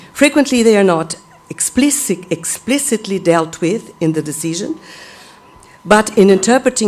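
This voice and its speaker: A woman at a moderate pace with lively intonation, amid noticeable background noise. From Brazil. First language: Portuguese. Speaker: law professor. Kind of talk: conference talk. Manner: halting; formal.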